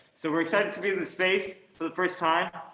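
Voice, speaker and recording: A man is heard over noticeable background noise. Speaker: acting coach. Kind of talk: live coaching session intro. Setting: theatre stage, live stream. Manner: over-enunciated; hesitant fillers. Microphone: sounds muffled in new space.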